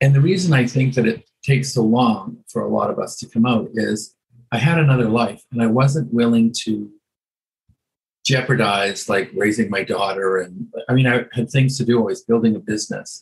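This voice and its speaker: A somewhat breathy voice with a Canadian accent speaks at a moderate pace, its pitch moving in an ordinary way. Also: man, medium pitch for a man. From western Canada (Edmonton, Alberta). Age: 70s. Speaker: hairdresser. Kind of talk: interview.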